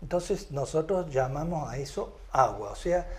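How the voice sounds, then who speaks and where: A man at a fairly slow pace, with vocal fry and audible room echo. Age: 70s. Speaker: lecturer on cosmology theory. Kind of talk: lecture. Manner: halting, with many fillers.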